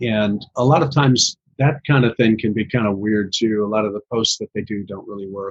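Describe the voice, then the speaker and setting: With an American accent, a man speaks at a very fast pace. His pitch is fairly low, with ordinary pitch variation. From US Midwest. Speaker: social media marketing business owner. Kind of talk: podcast interview. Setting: podcast recording.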